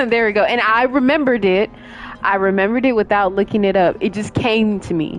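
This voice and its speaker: Over music in the background, a woman speaks quietly at a moderate pace, her fairly high pitch showing ordinary variation. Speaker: gaming streamer. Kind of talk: live gameplay commentary. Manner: halting, fumbles over words.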